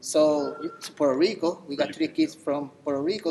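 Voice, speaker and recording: Noticeable noise sits behind a man who speaks at a moderate speed, his intonation fairly even. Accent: Spanish. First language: Spanish. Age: 40s. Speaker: assistant coach. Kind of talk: banquet speech.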